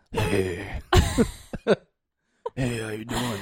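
A man's put-on character voice, raspy and medium in pitch. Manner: fake cutesy.

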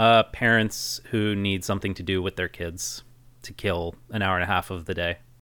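A man's very deep, low voice, bright and sharp in tone, with monotone, flat intonation, in a very clean recording with a silent background. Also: moderate pace. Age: 30s. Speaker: podcast co-host. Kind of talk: casual chat.

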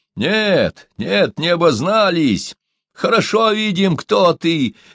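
Shouting in a put-on character voice, a man sounds high and shrill, swinging very widely in pitch at a fairly slow pace. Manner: shrill yelling.

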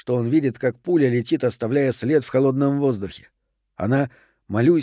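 A natural voice reads text aloud with little noise in the background.

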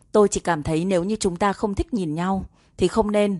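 The reading here is plain reading aloud. Its intonation is fairly even.

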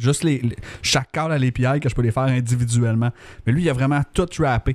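A man with an unremarkable speaking voice talks at a moderate pace and medium pitch with ordinary pitch variation, the sound dry and close with no echo. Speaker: mobile developer, podcast co-host. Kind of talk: casual chat.

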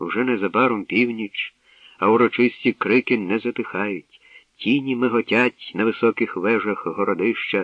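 Against a quiet background, someone reads aloud in a natural voice with fairly even intonation.

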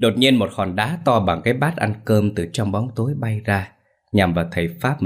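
A natural reading voice with lively intonation against a quiet background.

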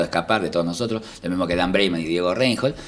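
Speaking at a very fast pace, a man uses a very deep, low voice with ordinary pitch variation. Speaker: stand-up comedian. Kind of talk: casual interview chat.

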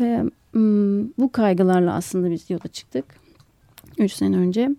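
Her dark, mellow tone at medium pitch, a woman speaks at a moderate pace in a dry, close sound without echo. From Istanbul, Turkey. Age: 30s. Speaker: doctoral student and new rural settler. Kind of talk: radio interview. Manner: halting.

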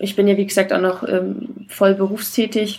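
A woman's voice at a medium pitch. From Saxony-Anhalt, Germany. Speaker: novelist. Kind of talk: casual chat.

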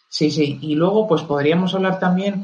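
Someone talks at a moderate pace in a normal speaking voice. The pitch variation is ordinary. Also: man. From northern Spain. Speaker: Tolkien enthusiast speaker. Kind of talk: casual discussion.

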